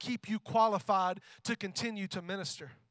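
A man with a high pitch speaks in a raised, projected voice at a moderate pace, his tone bright and sharp. His pitch varies in an ordinary way, and the sound is dry and close with no echo. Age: 30s. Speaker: worship pastor. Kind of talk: sermon. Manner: animated.

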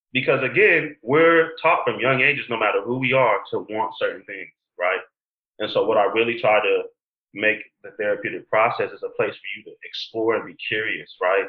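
A man with a Californian accent at a moderate pace, with big swings in loudness. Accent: Californian American English. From San Diego, California. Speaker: mental health counselor. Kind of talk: interview conversation.

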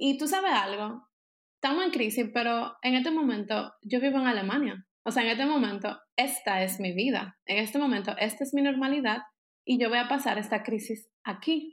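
A woman speaks at a moderate pace with a high pitch. Her loudness stays very even, and her pitch varies in an ordinary way. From Dominican Republic. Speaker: architect. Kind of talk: casual interview.

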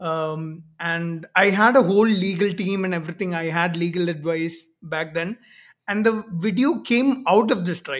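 Someone speaks with an Indian accent on a very clean recording with a silent background. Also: moderate pace. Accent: Indian English, fairly clear. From Kerala, India. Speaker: YouTuber debunking pseudoscience. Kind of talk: casual conversational interview. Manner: hesitant, filler-heavy.

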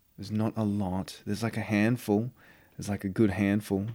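Speaking with an Australian accent, a man has a fairly low pitch, a dark, mellow tone and monotone, flat intonation. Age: 40s. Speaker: actor. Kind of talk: casual chat. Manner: casual, filler-heavy speech.

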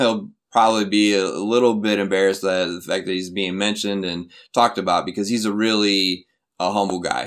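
Fairly low in pitch, a man speaks with a Midwestern American accent and fairly even intonation. The recording is very clean, with a silent background. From US Midwest (Flint, Michigan). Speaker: university English educator. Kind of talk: interview. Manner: halting, many fillers.

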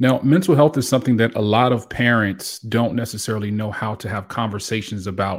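In an ordinary speaking voice, a man talks fairly quickly at a fairly low pitch with ordinary pitch variation, in a very clean recording with a silent background. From Hampton Roads, Virginia. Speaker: podcast host. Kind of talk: interview.

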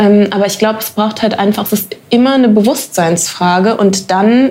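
The speech moves at a moderate pace with ordinary pitch variation and noticeable background noise. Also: woman. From Germany. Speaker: actress. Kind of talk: interview. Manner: hesitant, many fillers.

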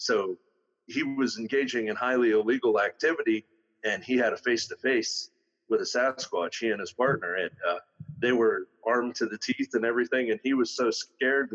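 A man with a Western Pennsylvania accent speaks at a fairly quick pace. The sound is dry and close, with no echo. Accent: Western Pennsylvania American. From northwestern Pennsylvania, near Erie. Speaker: auto mechanic and Sasquatch investigator. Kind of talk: casual interview.

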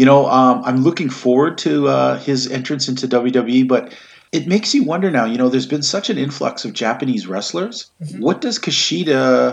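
Speaking at a moderate pace with hardly any pauses, a man uses a medium pitch and ordinary pitch variation. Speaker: podcast host. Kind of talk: casual banter podcast. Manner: animated, joking.

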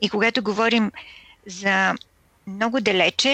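A woman of medium pitch speaks at a fairly slow pace in a bright, sharp tone with vocal fry and fairly even intonation. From Bulgaria. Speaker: radio producer and host. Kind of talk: interview.

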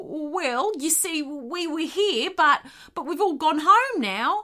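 A put-on character voice speaks at a high pitch and a very slow pace. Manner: hasty, bluffing.

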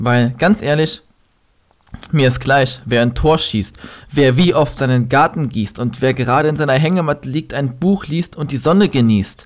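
In a normal speaking voice, a man talks at a moderate pace. His pitch is fairly high, with ordinary pitch variation. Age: 20s. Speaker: podcaster and slam poet. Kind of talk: poetry slam performance.

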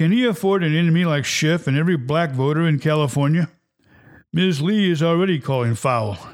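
Speaking at a fairly quick pace, a man with fairly high pitch shows ordinary pitch variation. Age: 60s. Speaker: podcast host and political commentator. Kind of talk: opinion monologue podcast. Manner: grumpy, self-deprecating.

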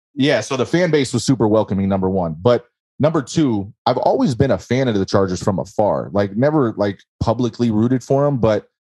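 A man speaks in an American accent at a fairly quick pace, with lively intonation. His tone is dark and mellow, and the background is quiet. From California, Bay Area. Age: 30s. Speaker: football fan guest. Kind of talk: interview.

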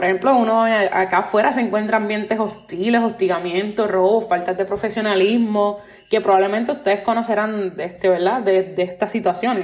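With a Puerto Rican accent, a woman at medium pitch speaks at a fairly quick pace with fairly even intonation and hardly any pauses. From Puerto Rico. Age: 20s. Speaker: podcast host. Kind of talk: solo podcast monologue.

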